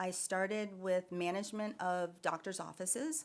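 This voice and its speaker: In a normal speaking voice, the speaker goes at a moderate pace with fairly even intonation. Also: woman. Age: 60s. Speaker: nurse practitioner and wellness business owner. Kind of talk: podcast interview.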